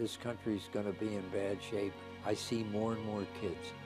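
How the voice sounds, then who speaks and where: Over music in the background, a man talks at a very slow pace. His pitch is fairly low. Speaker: war veteran. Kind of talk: interview answer.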